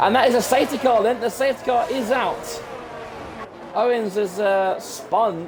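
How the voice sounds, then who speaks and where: Music plays in the background as a man speaks at an extremely high pitch and a moderate pace, with ordinary pitch variation. His loudness is very even, and room echo is audible. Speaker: sim racing commentator. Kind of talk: live commentary. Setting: home room with open window. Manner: loud, shouting; animated.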